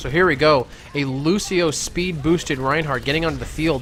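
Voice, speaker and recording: The voice shows ordinary pitch variation, with music playing in the background. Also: man. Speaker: esports shoutcaster. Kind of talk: live commentary. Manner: halting.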